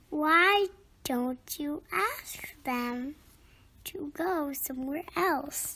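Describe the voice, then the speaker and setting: Someone uses a put-on character voice, pitched high and delivered at a very slow pace. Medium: read story.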